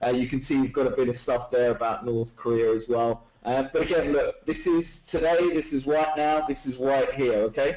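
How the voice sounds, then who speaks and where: With a British accent, a man with a fairly high pitch and ordinary pitch variation speaks at a very even loudness, with hardly any pauses. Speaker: webinar presenter, online marketer. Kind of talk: live webinar sales presentation. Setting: live online webinar. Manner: fast; animated.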